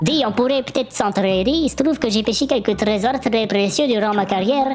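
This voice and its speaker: In a put-on character voice that sounds female, the speaker growls out gruff lines over clear background noise. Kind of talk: comic overacting. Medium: virtual streamer. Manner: gruff, mocking, then bargaining.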